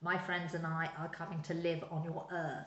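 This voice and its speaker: A woman puts on a character voice at a fairly low pitch with monotone, flat intonation. She keeps a moderate pace, with slight echo. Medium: read story. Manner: complaining, bossy.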